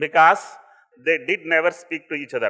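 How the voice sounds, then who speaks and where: The speaker is a man with a Tamil accent. His pitch varies in an ordinary way. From India, Tamil Nadu (Coimbatore district village). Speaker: entrepreneur. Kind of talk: motivational talk. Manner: witty.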